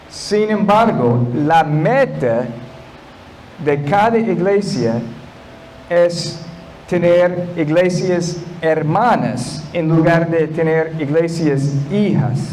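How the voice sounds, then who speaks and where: Over noticeable background noise and audible room echo, a man with a high pitch and ordinary pitch variation talks at a very slow pace with long, frequent pauses and very even loudness. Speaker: guest pastor. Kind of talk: sermon. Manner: halting, non-native Spanish.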